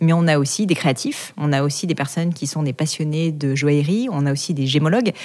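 Her voice sits very deep and low for a woman, with a dark, mellow tone and a fairly quick pace. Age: 30s. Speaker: entrepreneur. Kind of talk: interview. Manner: casual, filler-heavy.

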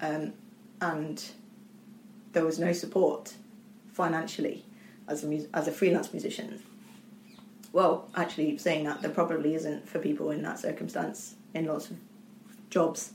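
Audible room echo surrounds a woman whose pitch is fairly low. She varies it in an ordinary way and leaves long, frequent pauses. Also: moderate pace. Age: 30s. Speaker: orchestra manager and former professional horn player. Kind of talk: interview.

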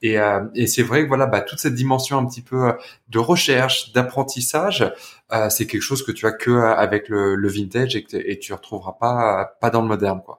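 Ordinary pitch variation and a moderate pace from a male speaker. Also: medium pitch for a man. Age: 30s. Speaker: podcast host, watch enthusiast. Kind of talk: casual chat. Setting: remote recording. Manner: halting, many repetitions.

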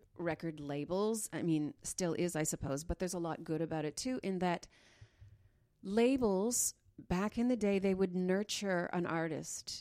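A woman with an unremarkable speaking voice and a Canadian accent, fairly low in pitch and fairly slow in pace, on a very clean recording with a silent background. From Northern Ontario, Canada. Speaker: classical and cabaret singer. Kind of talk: casual interview.

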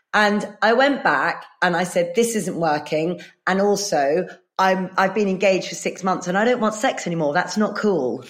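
Speaking with an English accent, a woman sounds animated, her medium pitch showing ordinary variation. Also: moderate pace, very even loudness. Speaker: performer. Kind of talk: casual chat. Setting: video call.

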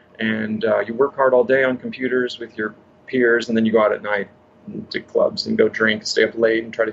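Noticeable background noise runs behind a man who talks at a very fast pace with an American accent. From northern California. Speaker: health coach. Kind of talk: interview.

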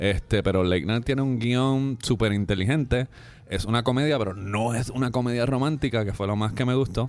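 In an ordinary speaking voice, a man talks at a fairly quick pace and medium pitch, with ordinary pitch variation and very even loudness. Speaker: film critic. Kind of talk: casual chat. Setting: restaurant.

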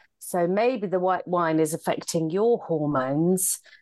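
A woman speaks in a plain, everyday voice, pitched fairly low. Her pace is fairly slow. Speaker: podcast host and comedian. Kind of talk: casual chat.

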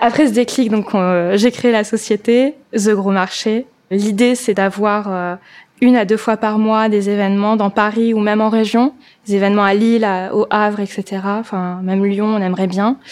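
Her voice fairly high and her intonation flat and monotone, a woman talks at a fairly slow pace. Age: 30s. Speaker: vintage shop owner and event organizer. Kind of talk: testimony. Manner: casual with hesitations.

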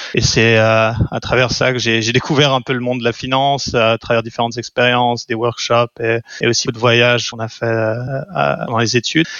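A man's medium-pitched voice at a moderate pace, with hardly any pauses and fairly even intonation. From French-speaking Switzerland (Lausanne). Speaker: venture capital investor. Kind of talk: interview. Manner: halting, with repeated words.

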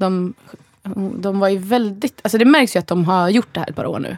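A woman with a plain, everyday voice talks at a fairly quick pace and medium pitch with ordinary pitch variation, in a dry, close sound with no echo. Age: 30s. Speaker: podcast co-host. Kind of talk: casual chat.

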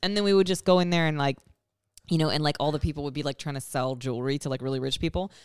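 A woman's very deep, low voice at a very fast pace, with ordinary pitch variation, in a very clean recording with a silent background. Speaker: comedian. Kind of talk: casual chat. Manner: sounds sarcastic or insincere.

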